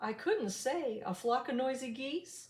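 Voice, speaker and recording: Fairly slow pace in a put-on character voice. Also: woman. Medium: read story.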